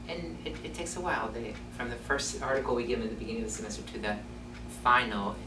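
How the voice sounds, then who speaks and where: Behind the very fast speech, noticeable background noise can be heard. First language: not English. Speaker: university lecturer. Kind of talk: panel discussion.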